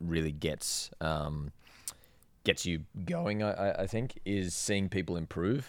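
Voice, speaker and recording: In an Australian accent, a man talks with a very deep, low pitch and ordinary pitch variation on a very clean recording with a silent background. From Australia, Sydney. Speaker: rope access instructor. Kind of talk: casual interview.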